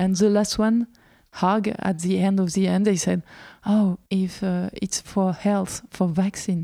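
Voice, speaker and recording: A woman in a French accent speaks fairly slowly at a medium pitch, her dark, mellow tone flat and monotone at very even loudness, on a very clean recording with a silent background. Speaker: homeschooling association representative. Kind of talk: interview. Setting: in a friend's house. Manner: halting, many fillers.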